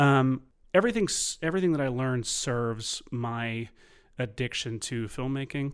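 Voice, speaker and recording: With an unremarkable speaking voice and an American accent, a man speaks at a moderate pace and medium pitch with ordinary pitch variation on a very clean recording with a silent background. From US South, Tennessee (Nashville). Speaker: filmmaker. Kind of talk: casual chat.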